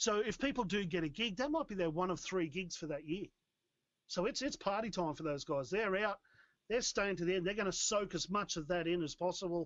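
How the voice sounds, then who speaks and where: The speaker has an Australian accent and a fairly quick pace. The tone is animated, with ordinary pitch variation. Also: man, high pitch for a man. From Australia, Newcastle NSW. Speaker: rock band musician. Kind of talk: casual chat.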